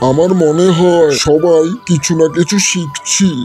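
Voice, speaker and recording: A man does a cartoonish character voice at a high pitch and a fairly slow pace. Clear background noise runs behind him. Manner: blunt, boastful.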